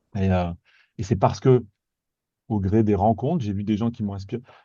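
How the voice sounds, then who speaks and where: A man speaks fairly quickly in a dark, mellow tone that is somewhat breathy. The background is quiet. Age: 40s. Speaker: guest on careers podcast, former medical machine operator. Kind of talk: casual interview chat. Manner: halting, many repetitions and hesitations.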